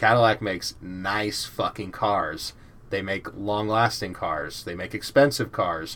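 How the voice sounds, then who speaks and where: A man with an American accent speaks in a normal speaking voice at a fairly slow pace, his fairly low pitch moving with ordinary variation. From US South, Georgia. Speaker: podcast host. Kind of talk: casual chat.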